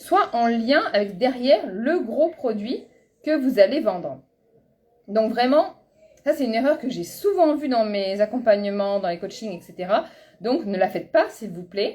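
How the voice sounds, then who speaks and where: At a fairly slow pace, a woman with a fairly high pitch speaks with very wide pitch swings and big swings in loudness. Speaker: business coach. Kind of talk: live webinar coaching. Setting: online live stream.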